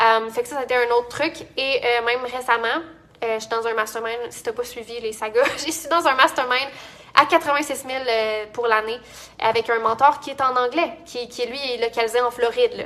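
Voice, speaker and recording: A woman's high voice carries a bright, sharp tone and fairly even intonation. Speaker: entrepreneur and business coach. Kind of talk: casual vlog talk. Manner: fast; many fillers and restarts.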